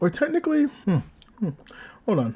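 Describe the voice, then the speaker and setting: A man speaks with a dark, mellow tone, a somewhat breathy quality and lively intonation on a very clean recording with a silent background. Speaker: anime reviewer. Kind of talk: casual chat.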